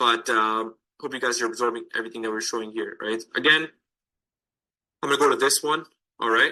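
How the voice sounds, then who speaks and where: A man speaks at medium pitch and a fairly quick pace, his intonation fairly even, with long, frequent pauses. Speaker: lead generation marketer for real estate agents. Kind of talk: tutorial walkthrough. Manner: fast; casual, conversational.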